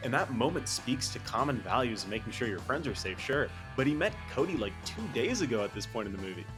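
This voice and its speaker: Over music in the background, a man with a medium pitch speaks very fast with lively intonation and hardly any pauses. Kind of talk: video essay narration. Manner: casual.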